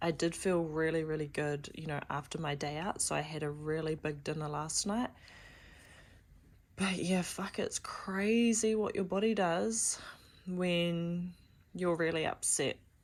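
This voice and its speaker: A woman speaks quietly in a fairly low pitch. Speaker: vlogger. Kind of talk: personal vlog.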